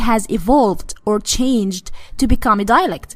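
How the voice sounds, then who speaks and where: A woman speaks with an Arabic accent at a moderate pace. Her pitch is fairly high. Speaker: Arabic teacher. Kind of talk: tutorial.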